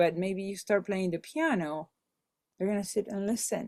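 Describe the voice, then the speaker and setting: In a Spanish accent, a woman speaks at a medium pitch on a very clean recording with a silent background. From Venezuela. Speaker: musician, Spanish teacher, voiceover artist. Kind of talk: podcast interview answer. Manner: energetic.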